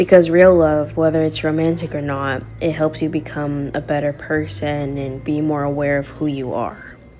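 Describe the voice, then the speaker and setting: Soft-spoken, a woman talks at a very deep, low pitch. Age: 20s. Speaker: lifestyle vlogger. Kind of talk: casual talk to camera.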